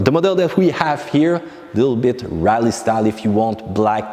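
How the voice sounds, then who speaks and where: Over noticeable background noise, a man with a French accent speaks at a medium pitch. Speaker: car vlogger. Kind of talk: casual vlog.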